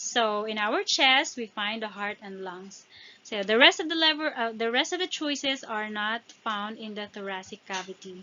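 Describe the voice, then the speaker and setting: A woman with a non-native accent speaks at a moderate pace and fairly high pitch. Her intonation is lively, and her loudness swings widely. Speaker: exam prep tutor. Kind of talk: tutorial. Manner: halting, with fillers and restarts.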